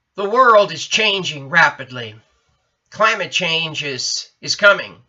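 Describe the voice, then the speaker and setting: Vocal fry runs through this man's voice. He talks at a very slow pace. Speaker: US Army veteran. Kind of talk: political testimonial to camera. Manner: hesitant, many fillers.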